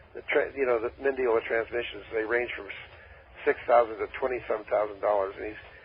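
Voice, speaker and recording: A man with an American accent speaks at a medium pitch and a fairly quick pace, somewhat breathy and in a monotone, flat delivery. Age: 80s+. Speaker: dune buggy designer and WWII veteran. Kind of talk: radio interview. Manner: halting.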